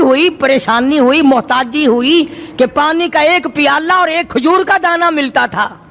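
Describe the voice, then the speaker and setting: Amid noticeable background noise, a man talks at an extremely high pitch with ordinary pitch variation. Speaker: Islamic preacher. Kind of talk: religious sermon.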